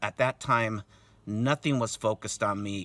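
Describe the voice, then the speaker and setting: A man's bright, sharp voice at a moderate pace on a very clean recording with a silent background. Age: 60s. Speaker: protester recounting an assault on his son. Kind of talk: testimony. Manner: halting, many fillers.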